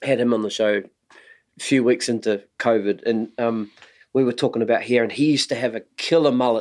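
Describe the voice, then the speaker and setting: Fairly quick, fairly even intonation and very even loudness, with a strong New Zealand accent. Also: man, medium pitch for a man. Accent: thick New Zealand. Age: 40s. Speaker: podcast host, drummer. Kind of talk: casual interview chat.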